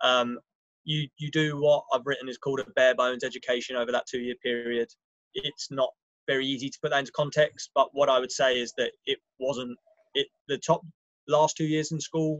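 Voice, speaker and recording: A man with a London accent talks at a fairly quick pace and fairly high pitch in a monotone, flat way, with a dry, close sound and no echo. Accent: English, London area. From England, just outside London. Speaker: finance professional, alumnus speaker. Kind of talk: informal talk to students. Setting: video call from a balcony. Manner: hesitant, many fillers.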